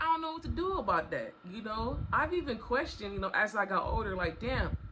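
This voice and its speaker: Fairly quick speech with noticeable background noise. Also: woman. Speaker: storytime vlogger. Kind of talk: casual storytelling monologue.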